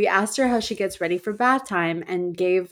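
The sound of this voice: The pitch varies in an ordinary way as someone reads in an unforced reading voice.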